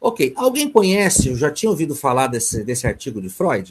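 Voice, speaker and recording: A somewhat breathy man's voice. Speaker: psychoanalyst lecturer. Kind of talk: online lecture (webinar). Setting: video conference webinar.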